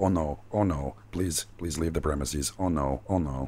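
A man puts on a character voice, his pitch very deep and low and his pace fairly slow. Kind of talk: tabletop game role-play. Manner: panicked, frantic.

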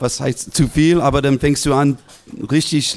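Speaking in an English accent, a man keeps a monotone, flat intonation at a fairly slow pace with a fairly high pitch. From US West Coast (Los Angeles). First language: English (speaking German). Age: 50s. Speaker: basketball assistant coach. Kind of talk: live podcast interview. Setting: live audience in a restaurant.

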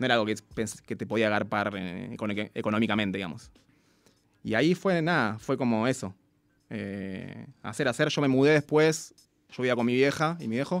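A man with a Rioplatense accent speaks at a moderate pace and a medium pitch. His intonation is lively, and long pauses come often. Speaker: beatmaker. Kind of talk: casual interview. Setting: radio studio.

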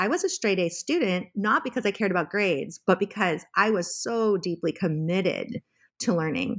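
On a very clean recording with a silent background, a woman speaks at a moderate pace with lively intonation in an ordinary speaking voice. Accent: American. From California, US. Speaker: journalism professor and memoir author. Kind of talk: interview about her memoir.

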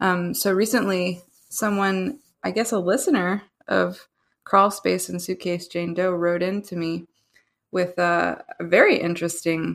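On a very clean recording with a silent background, a woman with an American accent talks at a fairly slow pace. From Pennsylvania, US. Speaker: citizen researcher, guest. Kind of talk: casual discussion of a case.

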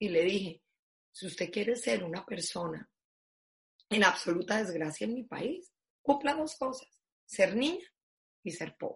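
At medium pitch, a somewhat breathy woman speaks at a fairly slow pace with very wide pitch swings, big swings in loudness, and long, frequent pauses. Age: 50s. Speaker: foundation president. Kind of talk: interview.

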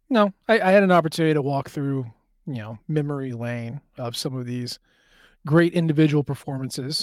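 In a plain, everyday voice, a man talks at a fairly quick pace and a fairly high pitch with ordinary pitch variation and big swings in loudness, recorded very cleanly against a silent background in a dry, close sound with no echo. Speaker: sports podcast host. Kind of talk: casual sports chat.

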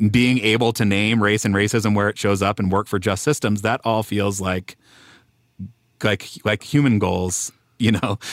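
An ordinary speaking voice from a man at a fairly low pitch, with fairly even intonation and a moderate pace, in a very clean recording with a silent background and a dry, close sound with no echo. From Denver, US. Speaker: podcast co-host. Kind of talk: casual conversational interview.

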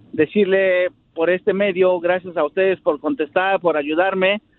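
A man speaks in a high pitch at a fairly slow pace. His intonation is fairly even. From Mexico City. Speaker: caller. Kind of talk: phone-in chat.

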